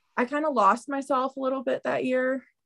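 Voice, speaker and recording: A woman talks at a fairly slow pace, the sound dry and close with no echo. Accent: Midwestern American. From Southern Illinois. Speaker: freelance writer. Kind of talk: casual interview. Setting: video call.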